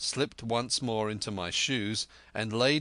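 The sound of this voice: The speech is delivered in an unforced reading voice with fairly even intonation.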